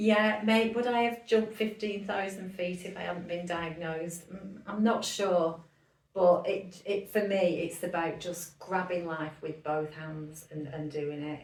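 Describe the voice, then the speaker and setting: Amid audible room echo and noticeable background noise, a woman with a Lancashire accent speaks slowly-ish at a fairly low pitch with ordinary pitch variation. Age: 60s. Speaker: businesswoman and cancer charity founder. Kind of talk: podcast interview. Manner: animated.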